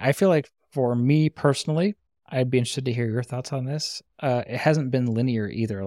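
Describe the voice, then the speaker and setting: Recorded very cleanly against a silent background with a dry, close sound and no echo, a man with an ordinary speaking voice talks fairly quickly at medium pitch with ordinary pitch variation. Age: 30s. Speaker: podcast co-host. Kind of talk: casual chat.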